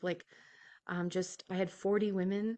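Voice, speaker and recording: In a quiet background, a woman with an American accent speaks at a moderate pace in a fairly low pitch, her intonation monotone and flat. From US Midwest, South Dakota. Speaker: nurse, guest sharing recovery story. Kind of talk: interview testimony. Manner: halting, many fillers.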